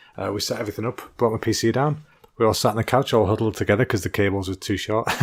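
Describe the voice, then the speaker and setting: Speaking at a very fast pace with an English accent, a man uses a medium pitch and ordinary pitch variation in a very clean recording with a silent background. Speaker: comedy podcast host. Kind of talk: casual chat. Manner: tense.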